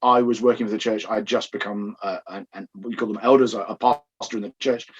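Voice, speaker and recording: A man speaks with an English accent. He talks at a fairly quick pace. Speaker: pastor. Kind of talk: podcast interview.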